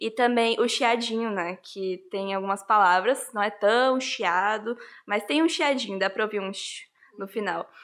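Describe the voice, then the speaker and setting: With a Rondônia accent and a fairly high pitch, a woman speaks at a fairly slow pace with ordinary pitch variation in a very clean recording against a silent background. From Rondônia, Brazil. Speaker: interviewee. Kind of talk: interview.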